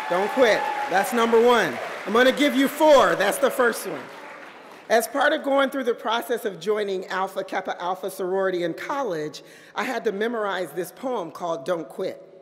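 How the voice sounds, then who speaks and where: Against crowd noise in the background, a woman talks at a moderate pace with a fairly high pitch and lively intonation. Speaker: keynote speaker. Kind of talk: commencement speech. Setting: stage with audience.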